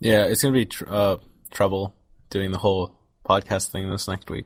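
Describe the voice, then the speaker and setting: A man speaks quietly in a fairly low voice, his intonation monotone and flat. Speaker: podcast co-host and video editor. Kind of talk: casual chat. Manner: fast.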